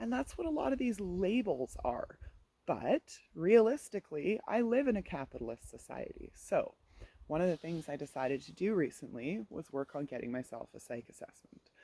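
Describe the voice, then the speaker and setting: This woman's voice is dark and mellow, fairly low, with vocal fry, and she moves at a moderate pace. Her pitch swings very widely and her volume rises and falls sharply. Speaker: performance poet; literacy tutor for kids. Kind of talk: casual talk to camera. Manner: halting, less fluent speech.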